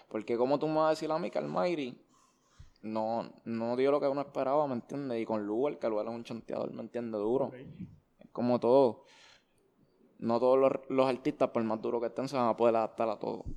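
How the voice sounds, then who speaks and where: Against a quiet background, a man with a dark, mellow tone speaks at a fairly quick pace but leaves long, frequent pauses. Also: medium pitch for a man, ordinary pitch variation. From Puerto Rico, Levittown (Toa Baja). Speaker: urban music artist. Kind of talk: casual interview.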